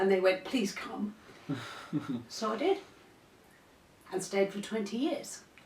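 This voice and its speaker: With noticeable background noise, the speaker goes at a fairly slow pace with long, frequent pauses and ordinary pitch variation. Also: woman, medium pitch for a woman. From North Yorkshire, England. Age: 60s. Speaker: retired teacher. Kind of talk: casual interview.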